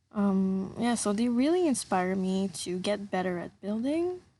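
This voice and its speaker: A woman with a slight French accent talks at a moderate pace in a medium pitch. Her intonation is lively, and the background is quiet. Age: 20s. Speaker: gaming YouTuber. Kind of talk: voice-over commentary. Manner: casual, hesitant.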